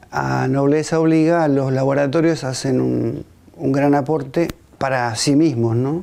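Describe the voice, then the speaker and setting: A man's medium-pitched voice, fairly slow and fairly even in intonation, over noticeable background noise. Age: 60s. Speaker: teacher. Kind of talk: testimony. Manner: halting.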